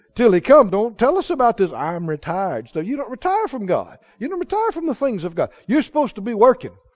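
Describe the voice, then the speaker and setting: A man talks at a very fast pace with hardly any pauses. His pitch is extremely high and swings very widely. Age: 80s+. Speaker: pastor. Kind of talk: sermon. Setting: church. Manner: animated.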